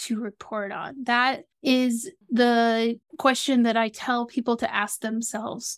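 A woman's fairly high-pitched, unremarkable speaking voice with an American accent, fairly slow pace and fairly even intonation, on a very clean recording with a silent background. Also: dry, close sound with no echo. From US South (Atlanta, Georgia). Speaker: Salesforce consultant for nonprofits. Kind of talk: interview.

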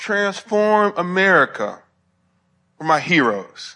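A bright, sharp tone in a raised, projected voice. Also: man. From US South, Alabama (Huntsville). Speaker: professor and theologian. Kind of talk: lecture.

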